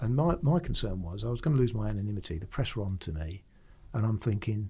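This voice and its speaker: With a London accent, a man talks very fast in a dark, mellow, somewhat breathy tone, his intonation lively. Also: fairly low pitch for a man. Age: 60s. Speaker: retired police firearms officer. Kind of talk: casual interview storytelling.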